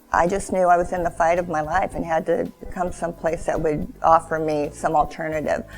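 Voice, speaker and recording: A woman at a fairly low pitch with fairly even intonation, over noticeable background noise. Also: fairly quick pace, hardly any pauses. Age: 60s. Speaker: cancer patient. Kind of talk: testimony. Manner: hesitant, many fillers.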